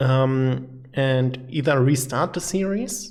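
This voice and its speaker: A man speaks with a German accent. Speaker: gaming YouTuber. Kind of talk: casual channel update monologue. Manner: halting, many fillers.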